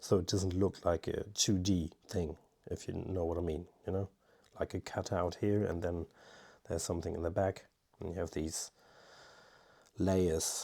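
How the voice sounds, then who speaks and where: A man mumbling with a non-native accent, very deep and low in pitch, dark and mellow in tone, flat and monotone, at a moderate pace with long, frequent pauses, on a very clean recording with a silent background. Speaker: amateur watercolour painter. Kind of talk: painting tutorial with running commentary. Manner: halting.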